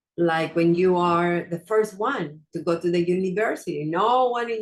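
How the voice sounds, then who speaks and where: This woman has a fairly low pitch with ordinary pitch variation and a non-native accent. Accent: non-native, noticeable pronunciation. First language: not English. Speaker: wellness coach and podcast host. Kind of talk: motivational talk. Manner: hesitant, with fillers.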